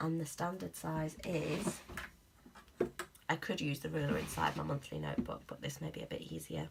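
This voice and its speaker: There is noticeable background noise as a woman speaks at a moderate pace, with long, frequent pauses. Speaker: planner vlogger. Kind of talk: unboxing video, casual talk to camera.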